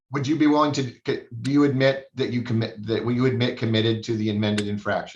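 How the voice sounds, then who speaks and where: At a medium pitch, a man speaks very fast in a somewhat breathy voice with fairly even intonation. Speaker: judge. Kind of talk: court hearing. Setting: video call.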